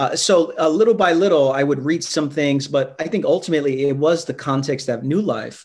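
A man speaks with a New York accent. His pace is fairly quick, and his pitch varies in an ordinary way. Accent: New York American. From New York, Brooklyn. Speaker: pastor. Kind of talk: interview on faith and rest. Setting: remote video call. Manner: frequent hesitations and fillers.

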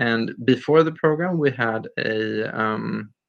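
A man with a Swedish accent. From Sweden, Stockholm area. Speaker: nonprofit leader. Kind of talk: interview.

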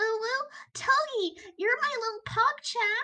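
A put-on character voice, extremely high in pitch, talks at a fairly slow pace. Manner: phlegmy, affectionate.

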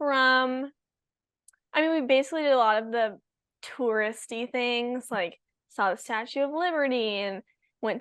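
A woman with a high voice talks fairly slowly, her pitch moving in an ordinary way. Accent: Californian. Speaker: pro pickleball player and college student. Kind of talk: casual chat.

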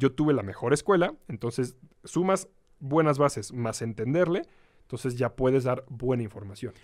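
He talks at a moderate pace. The man speaks with a Mexican accent. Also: medium pitch for a man, lively intonation, very clean recording, silent background. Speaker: motorcycling instructor. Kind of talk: casual interview. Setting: studio.

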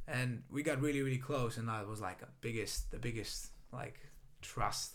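With a Greek accent, a man speaks at a medium pitch and fairly even intonation amid audible room echo. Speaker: run club founder, salesperson. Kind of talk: casual chat.

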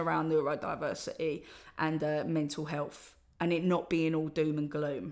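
A woman with an Essex accent, talking at a moderate pace. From Essex, England. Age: 30s. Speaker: podcast host and spoken word artist. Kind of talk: solo podcast monologue. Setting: recording alone at home. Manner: hesitant, many fillers.

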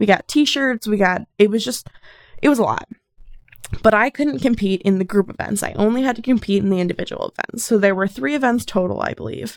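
A woman's fairly high-pitched, unremarkable speaking voice at a fairly quick pace, with ordinary pitch variation and a dry, close sound with no echo. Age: 20s. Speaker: solo podcaster. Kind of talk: casual monologue.

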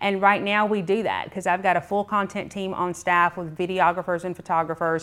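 Talking in a Georgia accent, a woman speaks at a fairly quick pace and medium pitch, with hardly any pauses and a monotone, flat intonation. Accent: US Southern (Georgia). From Georgia, US (Clayton and Henry County). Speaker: media and marketing business owner. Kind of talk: podcast interview.

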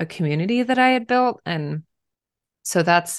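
A woman with an American accent at a fairly slow pace, over a quiet background. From Pennsylvania, US. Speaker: author. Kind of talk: casual interview chat.

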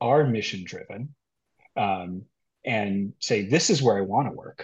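Against a quiet background, a man speaks at a moderate pace, somewhat breathy, with ordinary pitch variation. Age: 50s. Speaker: healthcare HR executive. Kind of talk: casual chat.

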